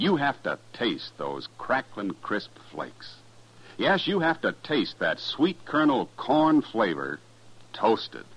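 Pitch swings widely as a man talks at a fairly slow pace. There's a slightly husky edge to his voice.

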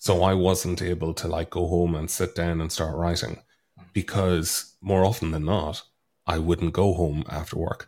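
A man speaks with an Irish accent in a very deep, low voice. His intonation is flat and monotone, and the recording is very clean with a silent background. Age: 30s. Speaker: author. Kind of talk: casual chat.

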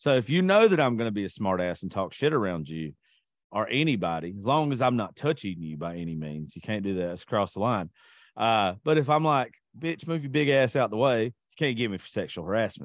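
Moving at a fairly quick pace, a man with a Southern US accent speaks at medium pitch with very wide pitch swings. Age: 30s. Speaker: podcast host. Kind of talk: casual chat.

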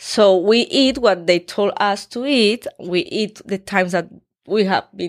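The speaker talks at a very slow pace with a Colombian accent in a very clean recording with a silent background. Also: woman, dry, close sound with no echo. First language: Spanish. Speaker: fitness influencer. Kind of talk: interview. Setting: studio.

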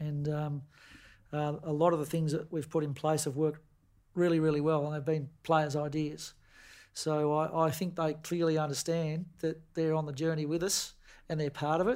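Monotone, flat delivery at a moderate pace with an Australian accent, in a very clean recording with a silent background. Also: man, fairly high pitch for a man. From Tasmania, Queenstown on the west coast. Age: 50s. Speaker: football coach. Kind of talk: casual interview.

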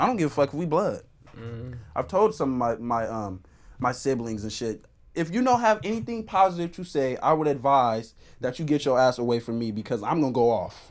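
With lively intonation, a man speaks fairly quickly in a normal speaking voice at a medium pitch. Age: 19. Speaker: podcast guest. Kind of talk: casual chat.

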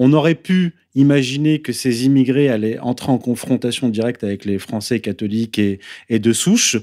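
A man's dark, mellow tone carries his moderately paced speech. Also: medium pitch for a man, ordinary pitch variation, very clean recording, silent background. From France. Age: 30s. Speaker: essayist and author. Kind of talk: interview.

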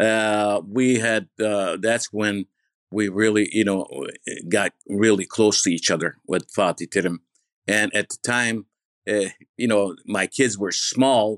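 A man speaks very slowly at a fairly low pitch with fairly even intonation. The sound is dry and close with no echo, over a quiet background. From Turkey. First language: Turkish. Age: 60s. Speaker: former journalist and football podcaster. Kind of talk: casual chat.

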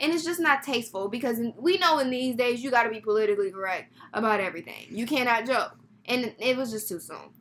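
A woman at a very fast pace with lively intonation. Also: fairly high pitch for a woman. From Texas, Houston. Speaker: podcast co-host. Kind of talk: casual chat.

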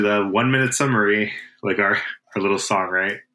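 The man has a fairly low pitch and a bright, sharp tone. Audible room echo is present. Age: 30s. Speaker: podcast co-host. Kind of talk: casual chat. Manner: halting.

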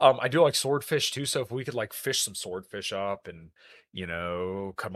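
A man speaks in a fairly low pitch with an upbeat tone over a quiet background. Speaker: podcast host. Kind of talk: casual livestream chat. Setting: online livestream. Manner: fast talker; upbeat, optimistic.

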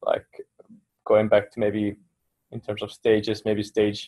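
A man speaks with a Finnish accent at a moderate pace. The background is quiet. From Finland. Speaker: meditation meetup participant. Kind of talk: casual group discussion.

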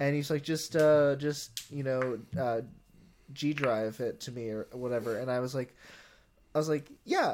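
An unremarkable speaking voice: a man at a fairly slow pace, fairly high in pitch, with fairly even intonation. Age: 20s. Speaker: podcast co-host and filmmaker. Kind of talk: casual chat.

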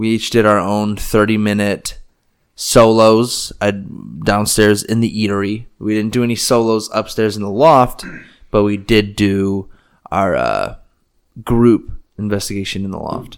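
A man with an unremarkable speaking voice talks at a fairly slow pace and a fairly low pitch. His intonation stays fairly even, and the recording is very clean with a silent background. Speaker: podcast host. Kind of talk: casual chat.

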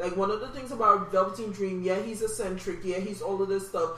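A woman talks at a very fast pace with an American accent. Noticeable background noise runs behind her. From New York, Jamaican family. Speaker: podcast co-host. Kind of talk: casual chat. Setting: home recording at kitchen table. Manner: loud.

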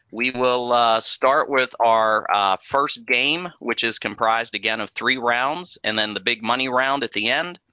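A man speaks at a very slow pace in an upbeat tone, his medium pitch moving with ordinary variation while music plays in the background. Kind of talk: game show host, running a theme park Family Feud.

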